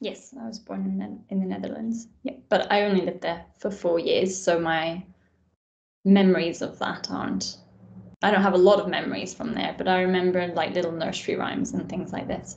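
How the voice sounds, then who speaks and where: Vocal fry runs through this woman's medium-pitched voice. She keeps a moderate pace with ordinary pitch variation. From Scotland, east coast near Edinburgh. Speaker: doctor. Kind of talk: casual interview chat.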